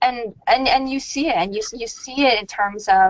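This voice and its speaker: Lively in intonation, a woman speaks in a dry sound with no echo. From Iran, raised in US. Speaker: policy lobbyist. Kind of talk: webinar presentation. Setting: webcast. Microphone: video call.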